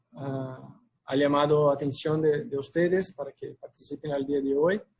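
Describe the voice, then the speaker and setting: Somewhat breathy man with a Brazilian accent, fairly high-pitched, fairly slow, and fairly even in intonation. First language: Portuguese (speaking Spanish). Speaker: packaging sales manager, webinar speaker. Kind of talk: webinar presentation. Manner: halting, with fillers.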